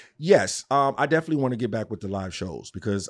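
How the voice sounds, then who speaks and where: A man with a New York accent at a fairly quick pace, on a very clean recording with a silent background. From New York, Queens. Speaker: podcast host and interviewer. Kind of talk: casual interview chat.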